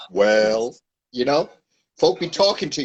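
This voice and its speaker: A man talks at a very slow pace. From New York City (Manhattan). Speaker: educator and author. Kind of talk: podcast interview.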